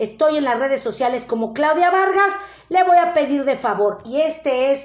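Against noticeable background noise, a woman with a Mexican accent speaks at a moderate pace in a high pitch, with an animated tone and lively intonation. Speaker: life coach. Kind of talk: live online workshop. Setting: live stream.

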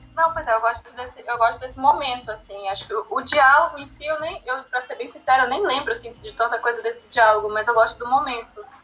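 Over noticeable background noise, a woman with a high pitch races along at a very fast pace, with big swings in loudness and ordinary pitch variation. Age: 20s. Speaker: literature educator, founder of a language school project. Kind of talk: casual chat.

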